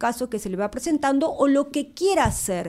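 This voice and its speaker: The tone is dark and mellow, with very wide pitch swings. The recording is very clean, with a silent background. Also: woman. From Argentina, Entre Ríos (Victoria). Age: 50s. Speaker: law professor. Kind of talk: casual interview.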